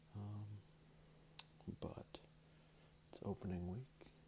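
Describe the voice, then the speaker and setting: Soft-spoken, the voice moves at a very slow pace. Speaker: ASMR creator. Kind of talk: ASMR card opening ramble.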